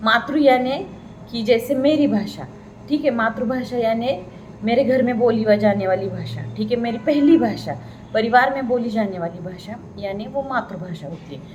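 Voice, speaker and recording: With a Marathi accent, a woman speaks at a fairly high pitch with lively intonation and big swings in loudness. Noticeable background noise and audible room echo fill the recording. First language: Marathi (speaking Hindi). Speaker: Hindi pedagogy lecturer. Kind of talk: lecture.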